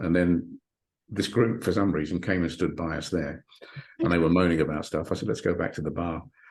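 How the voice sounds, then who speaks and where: Speaking at a fairly quick pace, a man uses a very deep, low voice with lively intonation. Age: 60s. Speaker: hypnotherapist and author. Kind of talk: interview. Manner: halting, repeats words.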